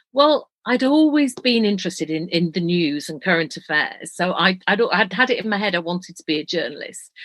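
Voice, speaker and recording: With a Yorkshire accent, a woman speaks at a fairly quick pace and hardly pauses. Her medium pitch moves in very wide swings. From northern England, Leeds, Yorkshire. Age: 60s. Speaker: retired broadcast journalist. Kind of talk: podcast interview.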